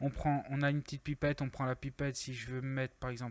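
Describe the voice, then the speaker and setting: The recording of this male speaker is very clean, with total silence behind him. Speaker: video editing tutorial youtuber. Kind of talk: tutorial. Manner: casual, with fillers.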